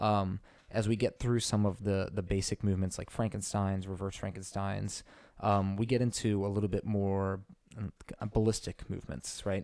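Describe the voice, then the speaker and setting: A man speaks in a fairly low pitch with a dark, mellow tone, flat and monotone in intonation, at a moderate pace, on a very clean recording with a silent background. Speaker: fitness podcast co-host. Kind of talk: casual chat. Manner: loud; hesitant, many fillers.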